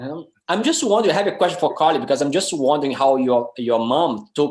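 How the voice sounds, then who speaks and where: This man talks at a fairly quick pace with a Brazilian Portuguese accent. His pitch is fairly high, and his intonation is lively. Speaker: film director. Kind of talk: panel discussion. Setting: video call. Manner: halting.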